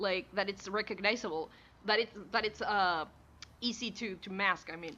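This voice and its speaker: Against a quiet background, a woman with a Rioplatense Spanish accent speaks at a moderate pace and a medium pitch, her tone bright and sharp. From Rio de la Plata region, South America. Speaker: vtuber digital artist streamer. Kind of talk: casual chat. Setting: live stream. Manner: animated.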